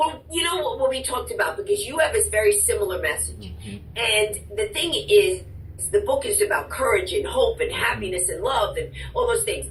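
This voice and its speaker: Noticeable background noise sits behind a woman who keeps a moderate pace. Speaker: author and speaker. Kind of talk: interview answer.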